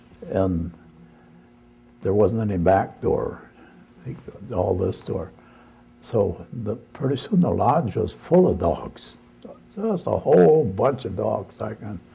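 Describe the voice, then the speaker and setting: Very slow, somewhat breathy male voice with an American accent, fairly low pitch, dark, mellow tone, lively intonation and long, frequent pauses. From Michigan, United States. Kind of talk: live storytelling performance to an audience. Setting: live event in a gallery exhibit. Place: hall. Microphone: camera far.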